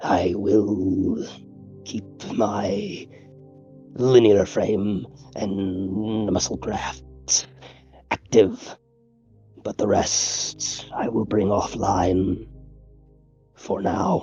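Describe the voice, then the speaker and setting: A man in a put-on character voice speaks at a very slow pace, with a fairly low pitch and fairly even intonation. Long, frequent pauses break up the speech, and faint music plays in the background. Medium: actual play. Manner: stiff, formal, measured.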